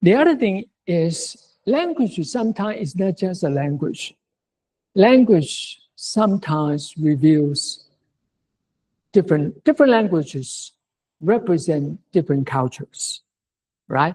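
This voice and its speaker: The speaker talks at a fairly slow pace in a Mandarin accent, leaving long, frequent pauses. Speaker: university lecturer. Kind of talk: lecture. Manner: halting.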